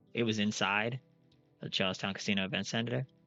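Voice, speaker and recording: Over music in the background, the speech runs at a fairly quick pace in a relaxed tone. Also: man. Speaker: gaming YouTuber. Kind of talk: casual gameplay commentary. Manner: monotone; relaxed, rambling.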